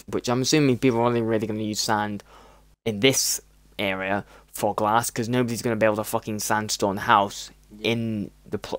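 A man's fairly low voice in a British accent, animated in tone, at a fairly quick pace. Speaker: gaming streamer. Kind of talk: casual chat. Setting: video call.

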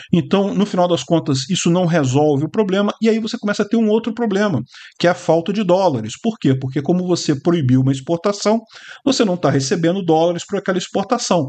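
A man talks fairly quickly with lively intonation, the background quiet. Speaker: political commentator. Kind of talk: commentary.

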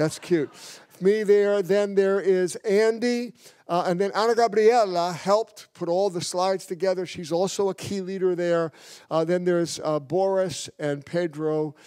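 Against a quiet background, a man with an American accent speaks with a high pitch, a dark, mellow tone and fairly even intonation. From New York. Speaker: pastor. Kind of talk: mission report. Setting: church. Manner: fast. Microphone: handheld.

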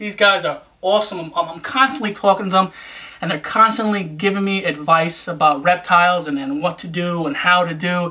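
Few pauses, a bright, sharp tone and ordinary pitch variation. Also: man, high pitch for a man, moderate pace.

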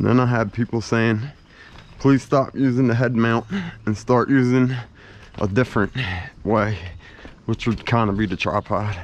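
Speaking at a moderate pace with fairly even intonation and long, frequent pauses, a man's voice sounds dry, with no echo. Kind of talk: casual vlog chat. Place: garden. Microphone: phone near.

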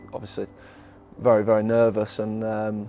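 Faint music sits in the background of a dry recording with no echo. A man speaks at a moderate pace, fairly low in pitch, with monotone, flat intonation. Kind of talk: interview answer. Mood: relaxed, reflective, proud. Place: hall. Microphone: lapel.

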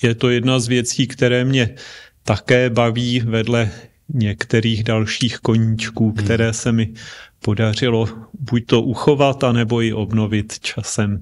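A man at a fairly slow pace, with monotone, flat intonation and very even loudness. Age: 50s. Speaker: church elder and engineer; interview guest. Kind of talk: interview. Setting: studio. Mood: calm, friendly. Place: studio. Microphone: handheld.

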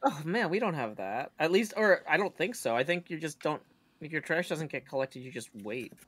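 Heard on a very clean recording with a silent background, the speaker talks at a fairly quick pace in an American accent. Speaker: streamer. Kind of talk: casual chat. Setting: home stream. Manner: humorous, puts on voices at times.

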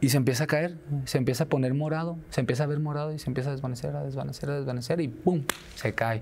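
Over light background noise, a somewhat breathy man talks at a very fast pace with fairly even intonation. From Guadalajara, Jalisco, Mexico. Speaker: clown entertainer; interview guest. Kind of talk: interview. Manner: halting with repetitions. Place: studio. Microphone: lapel.

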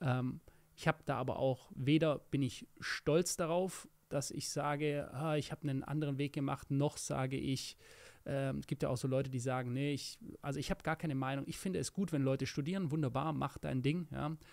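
Intonation stays fairly even at a middling pace. Behind the voice, all is quiet. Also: man. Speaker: podcast co-host. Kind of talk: casual chat. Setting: studio. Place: studio. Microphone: studio mic.

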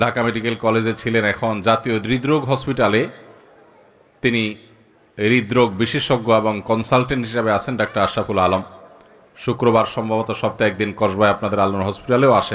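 This man has a normal speaking voice, pitched in the middle range, with fairly even intonation. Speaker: Islamic preacher. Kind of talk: sermon.

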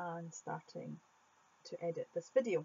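With a Scottish accent, a woman speaks at a fairly low pitch. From Scotland. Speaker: art YouTuber. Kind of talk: voiceover Q&A.

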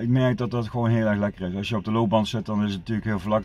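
Recorded with a dry sound and no echo, a man speaks with fairly even intonation. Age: 50s. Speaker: vlogger. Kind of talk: casual vlog monologue. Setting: outdoors in the woods. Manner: halting, many fillers and repetitions. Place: car. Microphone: phone near.

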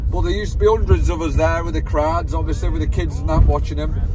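Talking at a very fast pace, a man with a very deep, low pitch and ordinary pitch variation is heard over noticeable background noise in a dry sound with no echo. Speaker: work truck driver vlogger. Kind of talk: casual vlog chat. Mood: jokey, nostalgic. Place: car.

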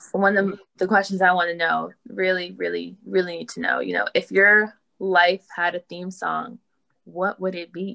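Against a quiet background, a woman with an American accent speaks at a moderate pace with big swings in loudness. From Northern Virginia. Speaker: co-host, university fellow. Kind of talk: casual hosting. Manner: animated, enthusiastic. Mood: warm, admiring. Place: home room. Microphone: video call.

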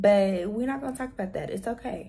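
A woman's raspy voice, medium in pitch, with a dark, mellow tone and ordinary pitch variation

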